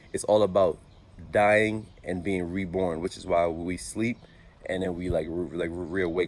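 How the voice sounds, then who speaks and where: At a fairly slow pace, a man talks in a very deep, low pitch with fairly even intonation. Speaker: vlogger, motivational speaker. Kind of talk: motivational vlog monologue. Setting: outdoors. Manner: halting, many filler words.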